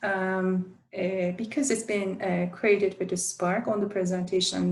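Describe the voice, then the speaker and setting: In a Turkish accent, a woman talks at a medium pitch with a somewhat breathy quality. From Turkey. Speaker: university instructional design academic. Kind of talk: conference presentation. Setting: virtual presentation, screen sharing. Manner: halting, many filler sounds.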